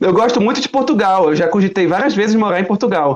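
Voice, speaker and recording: Very fast speech from a man, high in pitch and with ordinary pitch variation. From Brazil. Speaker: YouTuber. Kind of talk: casual chat.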